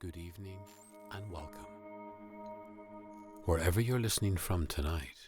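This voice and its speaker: With music in the background, a man in a Northern Irish accent speaks fairly slowly, his pitch varying in an ordinary way. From Northern Ireland. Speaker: voice artist. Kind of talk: sleep story. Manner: slow, calm.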